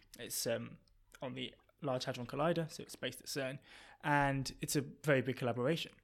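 Vocal fry marks this man's medium-pitched voice, and his intonation is fairly even. He talks at a fairly quick pace but leaves long, frequent pauses. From London, England. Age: 20s. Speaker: PhD student in physics. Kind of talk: casual interview chat.

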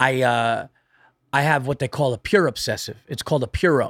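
A man's plain, everyday voice, fairly high-pitched and fairly quick, with a dry, close sound with no echo on a very clean recording with a silent background. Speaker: stand-up comedian. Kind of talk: casual chat.

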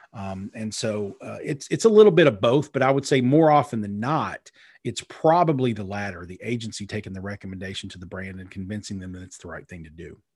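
An unremarkable speaking voice from a man, fairly low in pitch, with lively intonation and big swings in loudness, at a fairly quick pace with hardly any pauses, in a very clean recording with a silent background. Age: 40s. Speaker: PR and digital marketing strategist, author. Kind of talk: interview. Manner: many fillers and repetitions.

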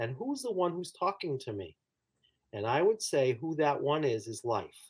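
A man with an ordinary speaking voice uses lively intonation at a moderate pace. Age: 60s. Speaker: clinical psychologist and author. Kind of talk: interview about his book.

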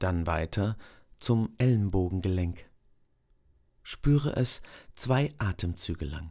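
In a very clean recording with a silent background, a man with a very deep, low pitch and a dark, mellow, calm, soothing tone speaks very slowly with lively intonation and long, frequent pauses. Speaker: meditation guide. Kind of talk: guided meditation, body scan. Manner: slow, calm, soothing with long pauses; soft-spoken, gentle.

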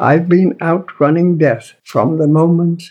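A man is speaking. He has a northern English accent. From northern England. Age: 90s. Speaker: author. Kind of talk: reading aloud. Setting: pub.

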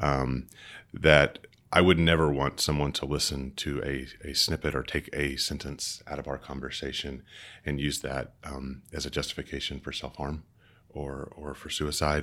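Very deep and low, a man's voice comes through with vocal fry and a bright, sharp tone, flat and monotone at a moderate pace. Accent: American. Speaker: book editor and biblical scholar; audiobook narrator. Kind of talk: casual interview.

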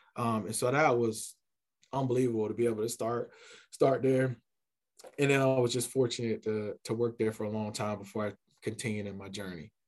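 A man with an American accent talks at a fairly quick pace and a medium pitch, with fairly even intonation and long, frequent pauses. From US South, Columbia, South Carolina. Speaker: college athletics administrator. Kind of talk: casual interview.

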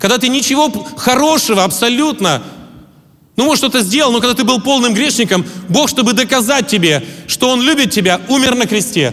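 A man with an extremely high voice talks at a fairly quick pace with ordinary pitch variation, very even loudness, and long, frequent pauses over noticeable background noise. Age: 40s. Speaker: pastor. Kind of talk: sermon.

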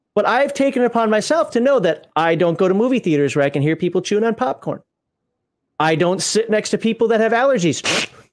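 On a very clean recording with a silent background, a man with an American accent talks at a very fast pace in a high pitch. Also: very even loudness. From US Midwest. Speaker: podcast host and former Air Force member. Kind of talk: casual livestream chat. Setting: live stream.

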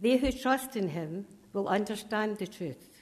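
A woman with a Scottish accent, fairly high in pitch, at a fairly slow pace. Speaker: scripture reader. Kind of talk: reading aloud of scripture. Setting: church.

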